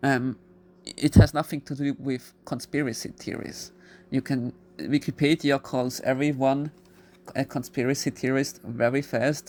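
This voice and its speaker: The speech carries a non-native accent. It moves at a fairly slow pace. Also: very clean recording, silent background. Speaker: YouTuber. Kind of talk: video monologue. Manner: halting.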